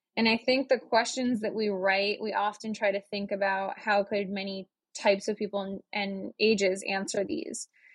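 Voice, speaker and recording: Using an unremarkable speaking voice, a woman speaks at a moderate pace and medium pitch with fairly even intonation. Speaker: printmaking collective member. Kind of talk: casual interview conversation.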